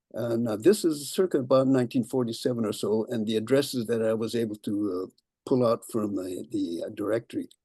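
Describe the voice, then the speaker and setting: Using an American accent, a man speaks at a fairly quick pace in a dark, mellow tone at medium pitch, with ordinary pitch variation. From US West Coast, San Jose, California. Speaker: local historian giving a talk. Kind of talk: lecture. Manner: halting, many fillers.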